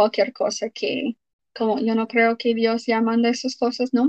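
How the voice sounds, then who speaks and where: A woman speaks with an English accent at a fairly high pitch. The sound is dry and close, with no echo. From Utah, US. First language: English (speaking Spanish). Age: 20s. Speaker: former church member. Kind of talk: interview.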